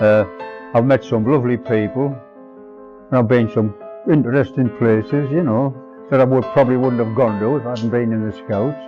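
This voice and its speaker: A man speaks with ordinary pitch variation as music plays in the background. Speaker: scout leader and volunteer. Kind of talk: interview answer.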